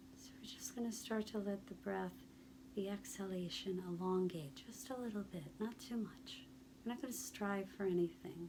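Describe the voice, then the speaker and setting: The voice is soft-spoken and keeps a moderate pace. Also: woman. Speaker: stress reduction guide. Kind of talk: guided relaxation practice.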